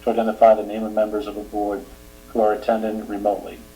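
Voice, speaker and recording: A man with a Boston accent talks at a very fast pace amid audible room echo and noticeable background noise. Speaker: select board chair. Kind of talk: public meeting announcements. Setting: remote public meeting.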